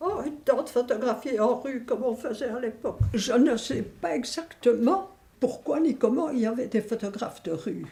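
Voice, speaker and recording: Lively intonation over noticeable background noise. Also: woman, high pitch for a woman, moderate pace. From Belgium, Verviers (Wallonia). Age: 80s+. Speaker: elderly local resident. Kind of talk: reminiscing interview. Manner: hesitant, with fillers.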